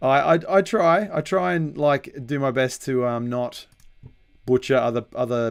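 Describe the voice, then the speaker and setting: A man with an Australian accent talks at a medium pitch, his pitch varying in an ordinary way. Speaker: metal musician and songwriter. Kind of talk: live stream tutorial chat. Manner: hesitant, many fillers.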